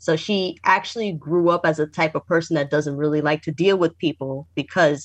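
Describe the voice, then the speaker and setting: A woman with a normal speaking voice and an American accent, at a moderate pace with fairly even intonation. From New York. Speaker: creator of an anime and music project. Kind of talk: casual chat.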